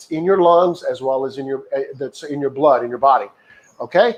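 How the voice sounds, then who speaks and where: A man with a plain, everyday voice talks at a moderate pace in a fairly high pitch. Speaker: jiu-jitsu wellness coach. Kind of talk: guided breathing class.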